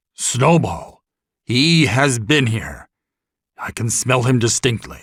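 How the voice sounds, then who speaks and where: A man performs a raspy put-on character voice at a medium pitch. His pace is fairly slow. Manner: exclaiming, menacing.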